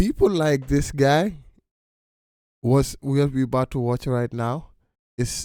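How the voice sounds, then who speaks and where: On a very clean recording with a silent background, a man with a non-native accent speaks at a fairly slow pace, using a medium pitch and ordinary pitch variation. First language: not English. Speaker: reaction video host. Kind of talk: casual commentary. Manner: halting, repeats words; animated.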